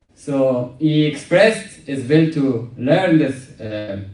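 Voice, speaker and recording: The speaker has a Persian accent, with audible room echo and noticeable background noise. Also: man. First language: Farsi. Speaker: comedian. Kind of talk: stand-up. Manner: halting.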